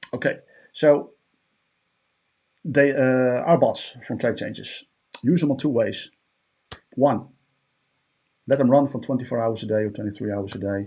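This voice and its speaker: A man with a Dutch accent speaks at a medium pitch with ordinary pitch variation. He leaves long, frequent pauses. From Netherlands. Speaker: trading bot vendor. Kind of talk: tutorial. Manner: hesitant with frequent fillers.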